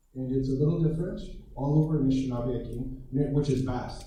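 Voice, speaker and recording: At a moderate pace, a man with an American accent speaks at medium pitch amid audible room echo and noticeable background noise. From Minnesota, US Midwest. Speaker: Ojibwe language and culture teacher. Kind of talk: lecture. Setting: presentation over Zoom to an audience.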